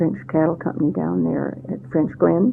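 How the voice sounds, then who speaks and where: Speaking at a moderate pace with an American accent, a woman is heard over noticeable background noise. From Central Oregon, US. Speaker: oral history interviewee. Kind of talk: oral history interview. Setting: interview at her home. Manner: halting, with many fillers.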